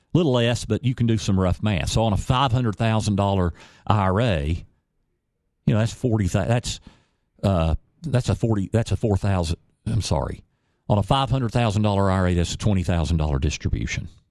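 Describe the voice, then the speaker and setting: A normal speaking voice with very even loudness, lively intonation and a fairly quick pace, over a quiet background. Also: man, fairly low pitch for a man. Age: 50s. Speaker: radio host and financial advisor. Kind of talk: radio talk show, financial advice. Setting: radio studio.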